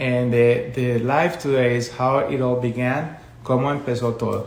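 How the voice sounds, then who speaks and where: Noticeable background noise and audible room echo surround the recording. A man speaks at a fairly slow pace with medium pitch. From Colombia. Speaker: education consultant. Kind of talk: live stream talk. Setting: social media live video.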